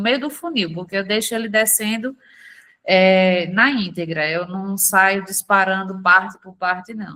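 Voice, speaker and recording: The voice has a calm yet bright, sharp tone, with ordinary pitch variation at a moderate pace. Its loudness swings widely. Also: woman. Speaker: sales affiliate. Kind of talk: online sales training call.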